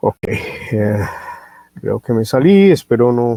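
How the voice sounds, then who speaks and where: Very slowly, a man speaks in a dry, close sound with no echo. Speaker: product trainer presenting a radio receiver. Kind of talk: webinar product presentation. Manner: slow, deliberate; many filler sounds.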